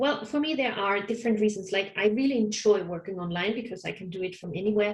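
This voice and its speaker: A woman with a German accent talks very fast, with hardly any pauses, at medium pitch and with ordinary pitch variation. Noticeable background noise is present. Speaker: counsellor. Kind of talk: interview.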